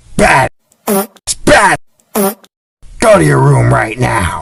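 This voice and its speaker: In a put-on character voice, the words come out at a very slow pace. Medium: comedy sketch.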